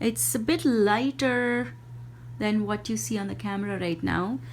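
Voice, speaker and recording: The speaker is a woman with an Indian accent. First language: Hindi. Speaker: indie yarn dyer and craft video maker. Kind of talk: product showcase. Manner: halting, with fillers.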